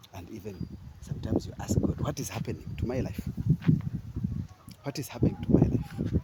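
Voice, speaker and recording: A man talks at a fairly quick pace with long, frequent pauses. His loudness swings widely over noticeable background noise. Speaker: vlogger. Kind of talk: motivational monologue. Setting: outdoors, walking. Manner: halting, searching for words.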